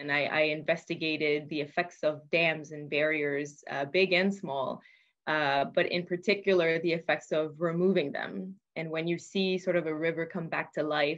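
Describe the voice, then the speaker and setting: A woman's very deep, low voice at a moderate pace, fairly even in intonation, against a quiet background. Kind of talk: interview answer. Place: office. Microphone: video call.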